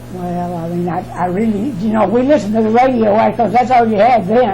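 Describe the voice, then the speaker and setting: A woman with a Southern US accent and a fairly high pitch talks at a fairly quick pace with ordinary pitch variation, amid noticeable background noise and audible room echo. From US South, Alabama. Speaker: interviewee. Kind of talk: oral history interview. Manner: halting.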